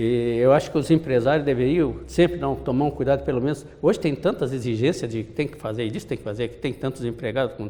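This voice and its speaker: A man's very fast, nearly pauseless speech, medium in pitch with ordinary pitch variation, vocal fry and a dark, mellow tone. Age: 80s+. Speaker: insurance sales manager, retiree. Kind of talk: interview.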